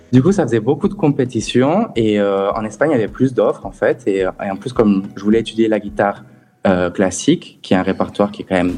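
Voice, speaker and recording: A man's fairly low voice, dark and mellow in tone, with lively intonation at a fairly quick pace. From southern France, Perpignan. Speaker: musician and guitar teacher. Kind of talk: radio interview.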